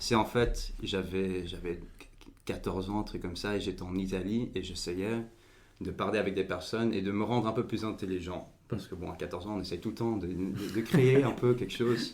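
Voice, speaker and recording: Audible room echo surrounds a man with a fairly low voice who speaks at a moderate pace with fairly even intonation. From Belgium, Overijse near the language border. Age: 20s. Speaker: political party leader. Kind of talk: podcast interview. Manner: halting, many repetitions and fillers.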